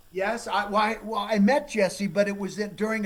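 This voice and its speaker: A loud, high-pitched man with an American accent at a moderate pace, amid noticeable background noise. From Minnesota. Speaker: forensic geologist, TV host. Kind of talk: casual interview chat.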